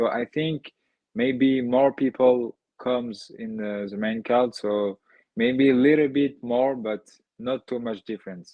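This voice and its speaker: A man with a French accent, medium pitch and a fairly slow pace. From France. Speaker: MMA fighter. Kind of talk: interview. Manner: halting.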